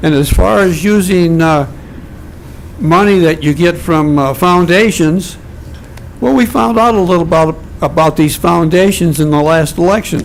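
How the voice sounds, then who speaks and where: A high-pitched man with very even loudness and ordinary pitch variation, amid noticeable background noise. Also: moderate pace. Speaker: public commenter at city council meeting. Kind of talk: public comment.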